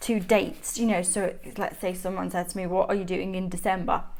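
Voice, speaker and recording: A woman with a Mancunian accent and an enthusiastic tone. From Manchester, northern England. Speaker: planner YouTuber. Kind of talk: show-and-tell vlog. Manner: chatty, enthusiastic.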